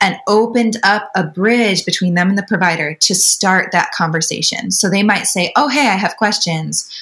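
Woman of medium pitch at a moderate pace with hardly any pauses, very even loudness and ordinary pitch variation, over noticeable background noise. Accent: American. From Wisconsin, US. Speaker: birth doula. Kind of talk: interview.

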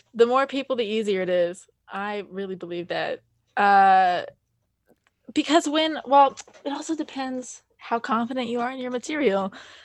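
A woman's high-pitched voice in an American accent, with lively intonation, a moderate pace and big swings in loudness. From Montana, US. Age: 20s. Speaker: stand-up comedian. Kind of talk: casual chat.

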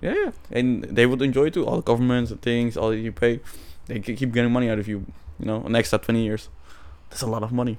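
At a very fast pace, a man speaks at a medium pitch. His intonation is monotone and flat. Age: 20s. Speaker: podcast co-host. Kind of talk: casual chat.

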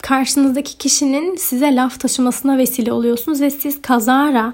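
Her pitch is high for a woman. The intonation stays monotone and flat. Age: 20s. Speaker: podcast host, university student and content creator. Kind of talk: solo Q&A podcast monologue. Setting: student dormitory room.

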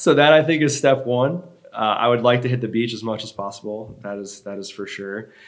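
A man's plain, everyday voice, medium in pitch and fairly quick in pace, with ordinary pitch variation and big swings in loudness. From US Northeast, Long Island, New York. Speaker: fitness coach. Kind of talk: casual chat.

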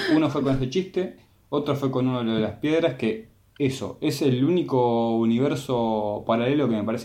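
Speaking in a Rioplatense accent, a man with a dark, mellow, medium-pitched voice talks at a moderate pace with ordinary pitch variation. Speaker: film podcast co-host. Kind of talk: casual chat. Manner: halting, with repetitions.

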